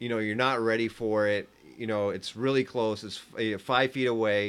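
This man has a normal speaking voice of medium pitch. He talks at a moderate pace with fairly even intonation. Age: 40s. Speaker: delivery driver. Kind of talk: casual chat.

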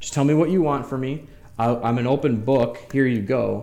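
Using a normal speaking voice, a man with an American accent talks at a fairly quick pace, his medium pitch showing ordinary variation. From US Midwest, Metro Detroit, Michigan. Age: 40s. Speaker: cannabis transport business owner. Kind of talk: casual podcast interview.

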